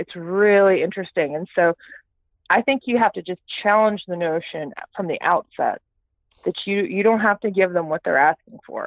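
Ordinary pitch variation and a moderate pace from a woman at medium pitch, in an ordinary speaking voice. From Texas, Houston. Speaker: startup CEO and futurist. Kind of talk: interview.

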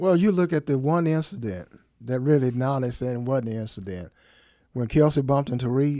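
A man with a normal speaking voice at medium pitch, fairly quick, with lively intonation. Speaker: guest co-host filling in. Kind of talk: casual banter, sports talk.

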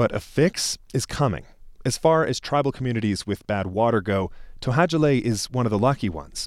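A man's normal speaking voice, medium in pitch with lively intonation and a fairly quick pace, on a very clean recording with a silent background. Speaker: radio reporter. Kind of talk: scripted narration.

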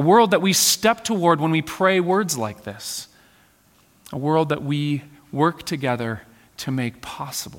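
A man talks at a fairly slow pace and a fairly high pitch in an ordinary speaking voice. His intonation is lively. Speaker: pastor. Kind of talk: sermon; spoken prayer. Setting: church. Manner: gentle, soft, reverent; slow, measured, earnest.

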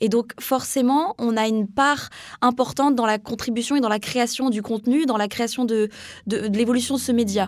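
With a normal speaking voice, a woman speaks at a fairly high pitch, her intonation fairly even and her loudness very even. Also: moderate pace. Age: 20s. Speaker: young communications student. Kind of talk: interview.

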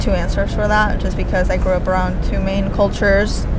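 Fairly quick speech from a woman, with noticeable noise in the background. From Spain. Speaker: materials engineer. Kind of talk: casual interview chat. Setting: outdoors in New York City.

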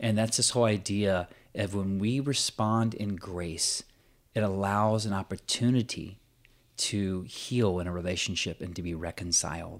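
A man with a plain, everyday voice talks at a moderate pace with a fairly low pitch and ordinary pitch variation. The recording is very clean, with a silent background. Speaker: podcast co-host, prays and reads scripture. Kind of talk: casual conversational podcast chat.

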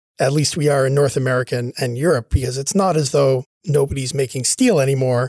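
Delivered at a very fast pace in a Cape Breton accent, the voice has a dark, mellow tone and ordinary pitch variation. The sound is dry and close, with no echo. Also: man. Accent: Cape Breton Canadian English. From Cape Breton, Nova Scotia (Sydney). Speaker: history professor. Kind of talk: interview. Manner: conversational, frequent fillers like right and you know.

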